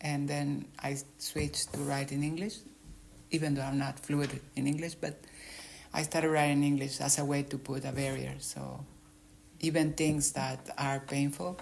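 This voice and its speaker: With a Spanish accent, a woman speaks at a moderate pace with a very deep, low pitch. Her intonation is monotone and flat, broken by long, frequent pauses. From Mexico. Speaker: author. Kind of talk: interview.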